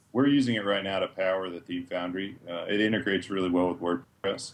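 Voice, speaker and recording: A man speaks at a fairly quick pace with an American accent, in a plain, everyday voice pitched fairly low. His pitch varies in an ordinary way while his loudness swings widely. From Massachusetts. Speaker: WordPress theme developer. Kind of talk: interview.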